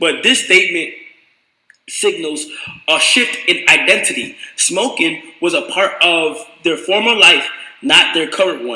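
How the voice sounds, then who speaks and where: With audible room echo around him, a man speaks in a high voice at a fairly slow pace, with lively intonation and long, frequent pauses. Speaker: streamer. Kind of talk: reading aloud. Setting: live stream. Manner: halting.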